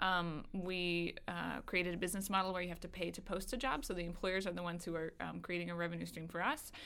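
A woman with an American accent, very fast, fairly low-pitched, with vocal fry, a bright, sharp tone and fairly even intonation. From Kentucky, US. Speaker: food job website co-founder. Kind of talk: casual chat. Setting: studio.

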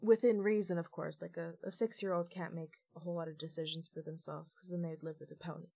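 Very fast speech from a woman with a Canadian accent, fairly low in pitch, fairly even in intonation, big swings in loudness and hardly any pauses. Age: 20s. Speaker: former youth in care, youth advocate. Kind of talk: podcast interview.

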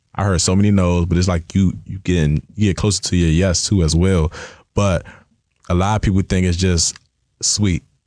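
A man's very deep, low voice with a dark, mellow tone and monotone, flat intonation at a moderate pace, in a very clean recording with a silent background. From Washington DC / Maryland area. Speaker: athlete marketing agent. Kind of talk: interview. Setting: studio.

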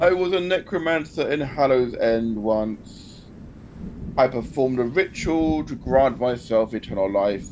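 A booming, put-on character voice speaks at a moderate pace with clear background noise behind it. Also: man, medium pitch for a man. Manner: ominous.

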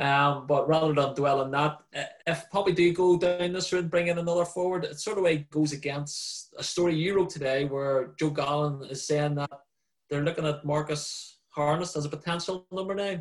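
A man with an unremarkable speaking voice, a fairly high pitch and fairly even intonation. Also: moderate pace. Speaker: sports journalist and podcast host. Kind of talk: casual sports podcast chat.

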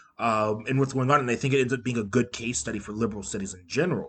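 The man's voice is somewhat breathy. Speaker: podcast co-host. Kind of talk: casual chat.

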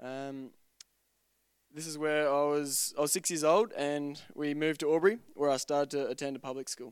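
On a very clean recording with a silent background, a man speaks in an Australian accent. His pitch is fairly high, his intonation fairly even, and his pace moderate. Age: 20s. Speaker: church member being baptized. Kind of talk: testimony. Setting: church.

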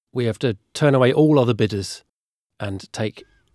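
A man speaks in an unremarkable speaking voice at a medium pitch and moderate pace, with ordinary pitch variation. The sound is dry and close with no echo, on a very clean recording with a silent background. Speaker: podcast host. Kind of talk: casual banter and news discussion.

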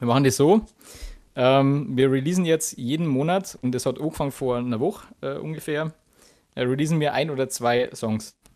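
With an unremarkable speaking voice, a man talks at a moderate pace, his fairly high pitch moving with ordinary variation. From Bavaria, Chiemgau. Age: 20s. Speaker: guitarist. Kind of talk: interview.

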